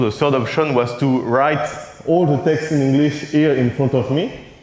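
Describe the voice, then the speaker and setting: A man with a French accent speaks at a fairly high pitch. Audible room echo and noticeable background noise surround him. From France. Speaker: conference keynote speaker, cartoonist. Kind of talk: conference keynote. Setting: stage with audience. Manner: halting, with frequent hesitations.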